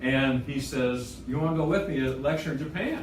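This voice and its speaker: A man heard through audible room echo and noticeable background noise. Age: 60s. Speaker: chiropractic lecturer. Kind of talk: lecture. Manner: conversational, frequent 'Okay? Right?' fillers.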